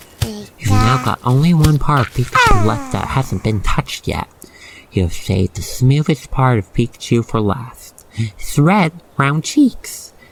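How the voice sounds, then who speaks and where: Noticeable background noise runs through the clip. The speech moves at a fairly slow pace. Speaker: ASMR roleplay narrator. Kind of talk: ASMR roleplay narration. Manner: calm, soothing.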